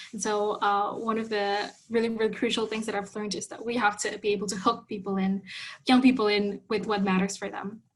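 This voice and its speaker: A woman speaks at a fairly quick pace in a medium pitch, her slightly breathy voice held to a flat, monotone intonation. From Indonesia, Jakarta. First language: Indonesian. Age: 20s. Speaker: youth health advocate. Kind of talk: conference talk.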